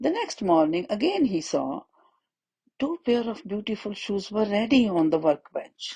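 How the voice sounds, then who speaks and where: Her voice is somewhat breathy and medium in pitch, as a woman speaks at a fairly slow pace in a dark, mellow tone with very wide pitch swings. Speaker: storyteller for children. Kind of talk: children's story narration.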